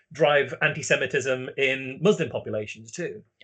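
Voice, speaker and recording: A man in a British accent talks with ordinary pitch variation. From UK. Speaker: talk series host. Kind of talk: interview. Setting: live online talk.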